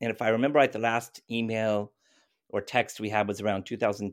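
In an American accent, an unremarkable speaking voice moves at a fairly quick pace on a very clean recording with a silent background. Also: man. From US, California. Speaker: climate activist. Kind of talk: interview.

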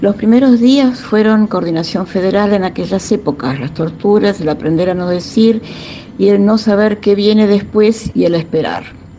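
Over noticeable background noise, a woman speaks at a medium pitch. Her pitch variation is ordinary. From Buenos Aires, Argentina. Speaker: former political prisoner and militant. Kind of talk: testimony.

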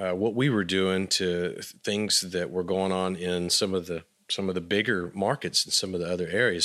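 On a very clean recording with a silent background, a man speaks at a moderate pace with a fairly low pitch and a bright, sharp tone. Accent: Texan. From West Texas, Abilene. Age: 40s. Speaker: musician. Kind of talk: interview.

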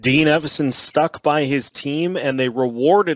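A plain, everyday voice at a fairly slow pace, with ordinary pitch variation and a dry, close sound with no echo. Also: man. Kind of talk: game recap. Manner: upbeat, conversational, checklist-style.

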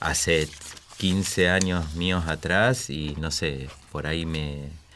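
Speaking very slowly in a very deep, low voice with ordinary pitch variation, a man is heard over noticeable background noise and audible room echo. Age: 40s. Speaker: father. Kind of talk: panel discussion.

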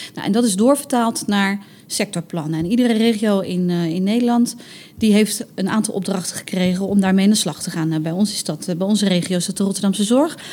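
At a fairly quick pace and medium pitch, a woman speaks with ordinary pitch variation over noticeable background noise. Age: 30s. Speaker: recruitment communications specialist at a hospital. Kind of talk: casual interview. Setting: on location at workplace.

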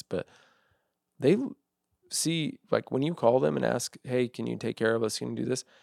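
With vocal fry, a man talks on a very clean recording with a silent background and a dry, close sound free of echo. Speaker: host's husband. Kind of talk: casual chat. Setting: at home.

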